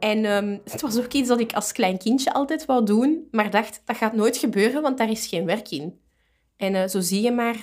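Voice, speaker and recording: In a normal speaking voice, a woman speaks at a moderate pace and a fairly high pitch with ordinary pitch variation. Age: 30s. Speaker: librarian. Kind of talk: casual interview.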